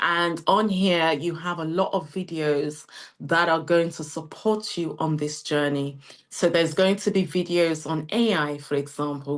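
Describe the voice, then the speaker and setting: Her voice is fairly low in pitch, with ordinary variation. The woman speaks with a British accent. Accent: UK. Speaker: CEO of a training academy presenting a webinar. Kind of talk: sales pitch webinar. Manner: animated.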